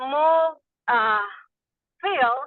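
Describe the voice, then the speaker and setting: A woman with a Salvadoran accent speaks at a high pitch. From El Salvador. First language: Spanish. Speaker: small farmer. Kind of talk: webinar discussion. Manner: halting.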